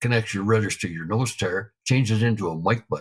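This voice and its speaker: A man's somewhat breathy voice at a medium pitch. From Canada, Alberta. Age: 70s. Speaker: retired military pilot. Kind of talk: interview storytelling. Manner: casual, relaxed.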